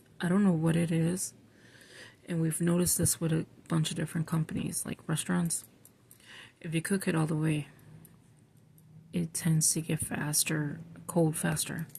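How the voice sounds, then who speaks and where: A woman speaks quietly. Her voice is somewhat breathy, with a dark, mellow tone. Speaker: scripture writing vlogger. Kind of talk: casual chat. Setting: at home at night while others sleep. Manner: quiet, low voice.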